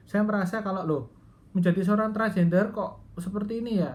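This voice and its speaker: A woman's somewhat breathy voice, with ordinary pitch variation, carries audible room echo. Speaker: Buddhist transgender vlogger. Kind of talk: personal testimony. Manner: hesitant, many fillers.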